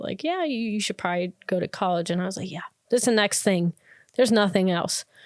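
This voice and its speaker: In a Wisconsin accent, a woman speaks at a medium pitch. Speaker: podcast host. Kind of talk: casual monologue. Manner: conversational, with fillers.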